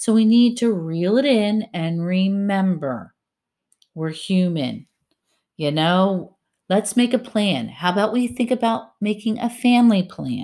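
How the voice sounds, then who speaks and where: The recording is very clean, with a silent background, and a woman speaks at a fairly slow pace. Her medium-pitched voice has a dark, mellow tone and makes very wide pitch swings. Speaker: podcast co-host. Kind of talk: solo podcast monologue.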